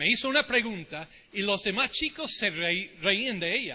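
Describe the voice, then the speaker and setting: Raising and projecting his high-pitched voice, a man speaks at a fairly slow pace in a bright, sharp tone. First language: English (speaking Spanish). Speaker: visiting preacher, Bible teacher. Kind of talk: sermon. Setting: church service.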